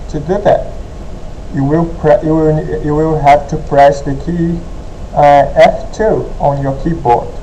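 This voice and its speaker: A man speaks at a very slow pace. Audible room echo and noticeable background noise are present. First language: not English. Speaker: gaming tutorial youtuber. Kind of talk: tutorial. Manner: halting.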